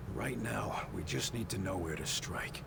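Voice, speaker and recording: Loud background noise fills the clip. Over it, a man uses a put-on character voice at a moderate pace. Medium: machinima. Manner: terse, dry.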